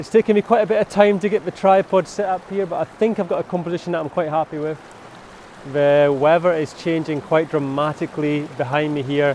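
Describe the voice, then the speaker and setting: Over noticeable background noise, a man speaks at a fairly high pitch. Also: ordinary pitch variation, fairly quick pace. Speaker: landscape photographer. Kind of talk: vlog narration. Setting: outdoors. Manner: excited shouting.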